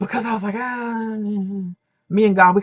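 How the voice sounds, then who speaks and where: Animated in tone, a woman talks at a very fast pace. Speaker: dating and relationship coach. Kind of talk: casual vlog monologue.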